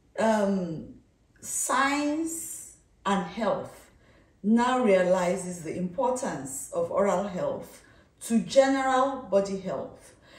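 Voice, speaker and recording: Audible room echo surrounds a woman speaking at a very slow pace. Her pitch swings very widely. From Nigeria (born in Kano, schooled in Ibadan); Nigeria. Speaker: dentistry professor. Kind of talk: interview. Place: home room. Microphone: camera far.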